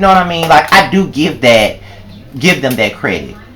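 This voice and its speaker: Music plays in the background as the speaker talks at a fairly quick pace. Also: man. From Mississippi. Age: 20s. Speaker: vlogger. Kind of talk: personal vlog monologue. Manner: animated.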